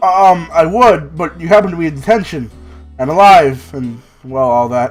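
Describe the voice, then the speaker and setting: A put-on character voice at middle pitch comes with faint music in the background. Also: moderate pace. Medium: game stream. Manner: nervous, over-polite, stammering, says "sir" constantly.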